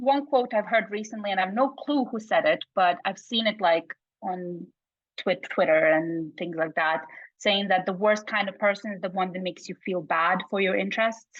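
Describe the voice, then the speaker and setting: A woman speaks in a Bosnian accent. Her pitch variation is ordinary. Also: medium pitch for a woman, moderate pace. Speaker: psychology researcher. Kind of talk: casual chat.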